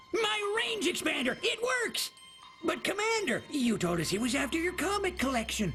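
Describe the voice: Clear music plays in the background as a cartoonish character voice speaks at a moderate pace.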